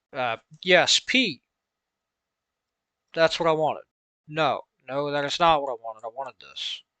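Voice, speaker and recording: A man with a Southern US accent speaks at a moderate pace, his pitch fairly high and his pitch movement ordinary. The tone is bright and sharp, loudness swings widely, long pauses come often, and the sound is dry and close against a quiet background. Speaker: instructor explaining logic.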